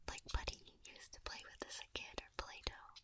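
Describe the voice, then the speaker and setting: Someone whispers. The pace is fairly quick. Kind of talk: soft roleplay chat to listener. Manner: soft, hushed ASMR voice.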